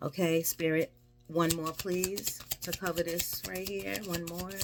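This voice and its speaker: A woman's fairly low voice at a fairly slow pace, with noticeable background noise. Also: lively intonation. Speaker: tarot reader. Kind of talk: tarot reading.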